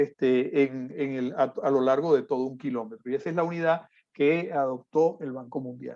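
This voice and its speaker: A dark, mellow tone marks this man's fairly high-pitched voice. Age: 50s. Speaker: civil engineer, conference speaker. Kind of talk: lecture. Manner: frequent fillers and hesitations.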